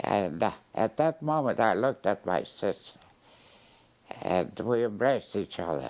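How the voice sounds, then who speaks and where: Vocal fry at a moderate pace, with very wide pitch swings, very even loudness, and long, frequent pauses. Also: man, fairly low pitch for a man. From Poland. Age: 90s. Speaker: Holocaust survivor. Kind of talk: interview. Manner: halting.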